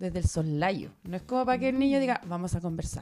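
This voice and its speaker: A woman with a Chilean accent at a very fast pace. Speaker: publisher. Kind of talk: casual chat.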